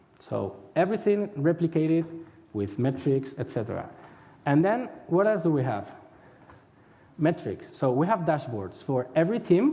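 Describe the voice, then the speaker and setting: The speech moves through very wide pitch swings, broken by long, frequent pauses. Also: man, fairly high pitch for a man. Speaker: head of agile center of excellence. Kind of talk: conference talk. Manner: fast.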